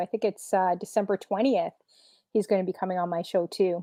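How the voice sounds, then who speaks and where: A woman's medium-pitched voice with a Canadian accent, a normal speaking voice, fairly even intonation and a fairly quick pace. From Canada. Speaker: DJ, show guest. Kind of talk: casual chat. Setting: live stream.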